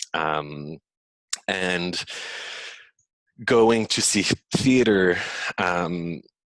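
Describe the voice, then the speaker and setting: With a French accent, a man talks in a very deep, low voice with ordinary pitch variation. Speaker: physical theatre performer and choreographer. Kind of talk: interview. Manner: hesitant, many fillers.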